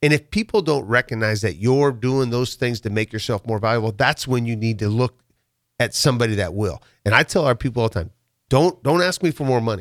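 Recorded very cleanly with a silent background and a dry, close sound without echo, a man with a Midwestern US accent talks at a fairly quick pace, his pitch medium with ordinary variation. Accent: US Midwest. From Nebraska, rural farm near Waverly. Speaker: construction company owner. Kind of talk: casual interview. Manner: repetitive, halting.

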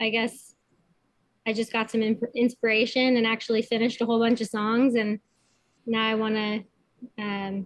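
A woman with a Canadian accent, fairly high in pitch, at a moderate pace. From Kitchener, Ontario, Canada. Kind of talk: casual interview chat.

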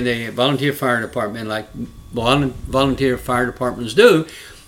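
A man with a Southern US accent, medium in pitch, at a moderate pace with fairly even intonation. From Alabama. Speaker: congressional candidate and Vietnam veteran. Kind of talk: rally-style stump speech, earnest and argumentative, political talk. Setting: podcast interview. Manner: earnest, impassioned, plain-spoken, storytelling.

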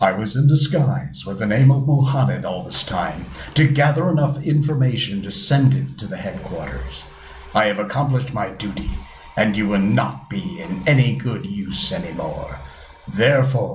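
A man's put-on character voice at medium pitch with very wide pitch swings, against clear background noise. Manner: cold, menacing.

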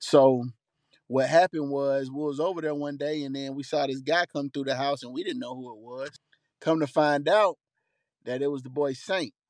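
Fairly high-pitched male speech at a moderate pace, fairly even in intonation but with big swings in loudness, dry and close with no echo. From Atlanta, Georgia, US South (College Park). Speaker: songwriter and recording artist. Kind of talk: casual interview chat.

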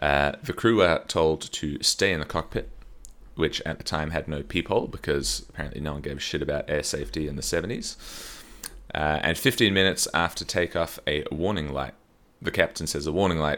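A man with vocal fry talks fairly quickly at a very deep, low pitch with ordinary pitch variation. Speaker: podcast co-host. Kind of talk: casual comedic chat. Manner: jokey, laughs often.

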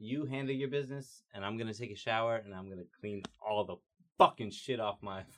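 American-accented man with an unremarkable speaking voice, medium pitch, ordinary pitch variation, fairly quick pace and big swings in loudness. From Georgia, US South. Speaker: podcast guest. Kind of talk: casual chat.

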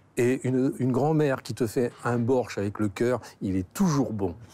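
A man's dark, mellow voice at a medium pitch, very slow in pace, with lively intonation. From Normandy, France. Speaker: restaurant owner. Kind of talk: casual chat.

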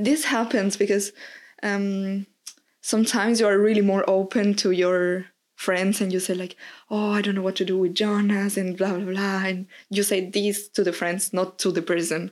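In a Spanish accent, a woman talks at a medium pitch and moderate pace with monotone, flat intonation. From Mexico. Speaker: podcast guest. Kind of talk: casual chat.

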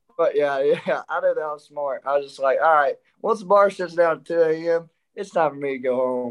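Someone with an Arkansas accent talks at a moderate pace with ordinary pitch variation. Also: man, fairly high pitch for a man. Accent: Southern US (Arkansas). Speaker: country singer. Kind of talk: casual chat.

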